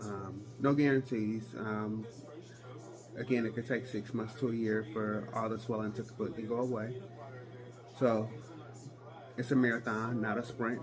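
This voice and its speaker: A man with a medium pitch speaks at a moderate pace in a monotone, flat intonation. Long, frequent pauses break up his speech over noticeable background noise. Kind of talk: casual talk to camera.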